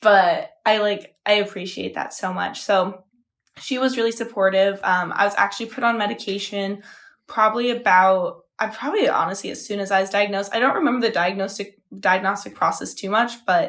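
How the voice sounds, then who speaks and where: With a plain, everyday voice, a woman speaks at a fairly quick pace and medium pitch with fairly even intonation on a very clean recording with a silent background. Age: 20s. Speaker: podcast co-host. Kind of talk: casual chat.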